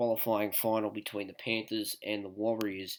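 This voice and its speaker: With an Australian accent, a man is heard on a very clean recording against a silent background. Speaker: sports tipster YouTuber. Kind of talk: casual sports predictions. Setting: at home, others asleep. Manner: soft-spoken.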